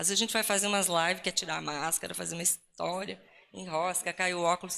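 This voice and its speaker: Speaking very fast, a woman uses a bright, sharp tone with vocal fry, her fairly low voice held to a monotone, flat intonation. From Rio Grande do Sul, southern Brazil. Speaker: Lutheran pastor. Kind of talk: talk at ecumenical church event. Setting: live event with audience and slides. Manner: casual, joking.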